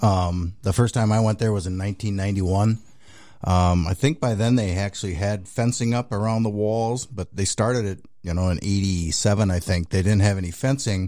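In a very clean recording with a silent background, a man with an American accent and an unremarkable speaking voice talks fairly quickly at a fairly low pitch with ordinary pitch variation. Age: 60s. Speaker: racing series owner. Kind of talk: interview. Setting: studio.

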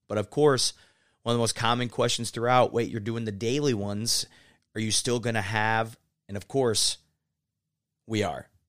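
Long, frequent pauses mark speech at a moderate pace on a very clean recording with a silent background. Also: man, medium pitch for a man. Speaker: podcast host, critical care pharmacist. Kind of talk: casual chat. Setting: convention center, in person. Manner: animated.

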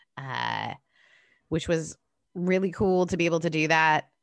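A woman's very deep, low voice with a slight Southern California accent, at a very slow pace over a quiet background. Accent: slight Valley girl like speech. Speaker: podcast host and pastor. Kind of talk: casual chat.

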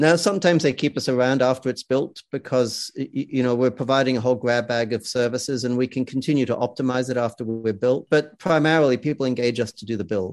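With an Australian accent, a man talks at a very fast pace with hardly any pauses. His pitch is medium, with ordinary pitch variation. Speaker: sales consultancy founder and author. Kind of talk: casual interview.

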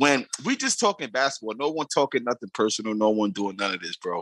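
A very fast man's voice with an American accent and a bright, sharp tone, dry and close with no echo, against a quiet background. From US Northeast (New York). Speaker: podcast panelist. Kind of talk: casual chat.

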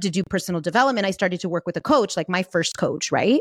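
Spoken with an American accent, this very clean recording has a silent background. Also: woman, dry, close sound with no echo. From US, San Fernando Valley, Los Angeles. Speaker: life and business coach. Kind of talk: interview.

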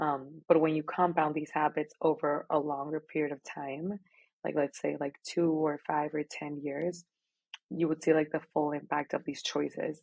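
Her pitch is very deep and low, and the intonation is monotone and flat. This woman speaks at a moderate pace in a Spanish accent. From Mexico, Monterrey. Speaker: marathon runner and architecture graduate. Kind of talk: casual chat.

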